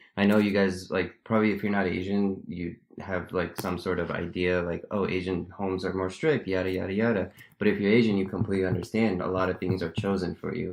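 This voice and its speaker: Against a quiet background, a man with an American accent talks at a fairly quick pace in a very deep, low pitch with monotone, flat intonation. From US. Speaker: podcast co-host. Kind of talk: casual chat.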